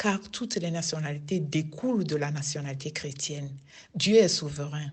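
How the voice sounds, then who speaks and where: A woman's very deep, low, somewhat breathy voice in a Togolese accent, at a moderate pace with ordinary pitch variation and audible room echo. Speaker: lay preacher, prayer group member. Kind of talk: sermon.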